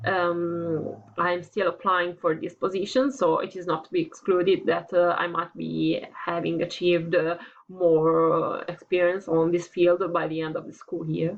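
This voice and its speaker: A woman with an Italian accent at a fairly low pitch, fairly even in intonation, fairly slow with hardly any pauses, over noticeable background noise. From Italy. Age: 20s. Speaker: student applying for teaching internship. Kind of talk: application video monologue. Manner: halting, many fillers.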